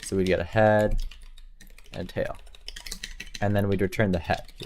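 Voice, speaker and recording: At a moderate tempo, the talking continues with noticeable background noise in the mix. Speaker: programming livestreamer. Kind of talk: live coding stream chat. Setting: live stream. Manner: casual, halting with fillers.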